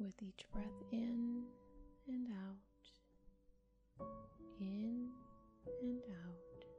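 Soft-spoken and at a very slow pace, the speaker leaves long, frequent pauses while music plays in the background. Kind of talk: guided relaxation / guided imagery narration. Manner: soft-spoken, slow, calm.

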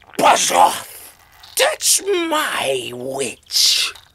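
A man puts on a character voice that is shrill and croaky. He growls through it as well. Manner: menacing, bold.

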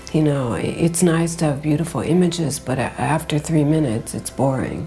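Over faint background music, a woman speaks at a very deep, low pitch with ordinary pitch variation. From American. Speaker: fashion designer, writer, editor, festival founder. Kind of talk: interview answer. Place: shop.

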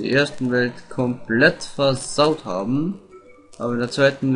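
At a fairly slow pace, a man speaks at medium pitch with ordinary pitch variation over noticeable background noise. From Austria. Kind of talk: let's play gaming commentary. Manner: casual, gets worked up at times.

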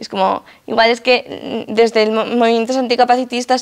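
A woman talks at a fairly quick pace against a quiet background. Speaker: activist and lecturer; lecturer. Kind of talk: lecture. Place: hall.

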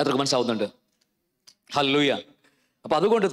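In a quiet setting, a man is talking. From Kerala, India. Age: 50s. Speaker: pastor. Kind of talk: sermon. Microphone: handheld.

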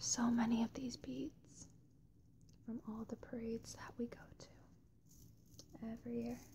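A woman whispers softly at a moderate pace, her loudness swinging widely. Long pauses come often, over noticeable background noise. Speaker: ASMR creator. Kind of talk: ASMR whisper ramble to camera. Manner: whispered, soft-spoken. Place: home room. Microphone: phone near.

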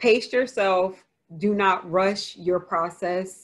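Speaking at a very slow pace, a woman with an American accent uses ordinary pitch variation. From New Jersey. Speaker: author. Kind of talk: Q&A session. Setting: video call. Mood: reflective, earnest. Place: home room. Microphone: video call.

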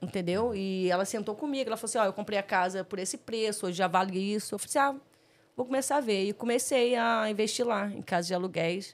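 Here is a woman with an unremarkable speaking voice, pitched fairly high. She talks at a fairly quick pace with ordinary pitch variation. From Rio de Janeiro, Brazil. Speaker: guest, artist and house flipper living in New York; guest. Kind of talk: casual interview chat. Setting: studio livestream. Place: studio. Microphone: studio mic.

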